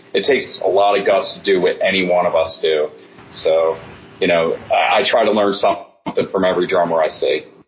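A man with an American accent speaks at a moderate pace. There is noticeable background noise. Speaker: rock drummer. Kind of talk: casual interview.

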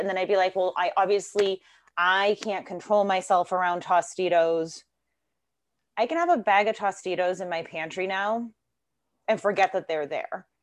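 Quiet background and a woman's normal speaking voice, medium pitch, moderate pace. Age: 40s. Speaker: fitness coach and special education teacher. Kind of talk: casual interview.

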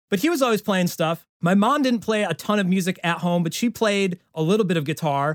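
A man with an American accent on a very clean recording with a silent background, the sound dry and close with no echo. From central New York. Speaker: parody songwriter and YouTuber. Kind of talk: casual chat.

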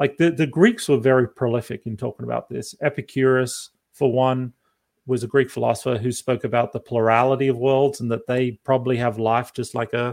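A man with an Australian accent, medium pitch, fairly quick pace, and a dry, close sound with no echo. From Australia (outback). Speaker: professor. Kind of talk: interview.

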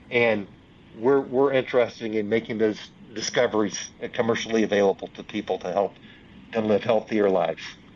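Speaking in a Southern US accent, a man uses a medium pitch and monotone, flat intonation. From US South, Union, South Carolina. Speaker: venture capital investor. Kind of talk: interview.

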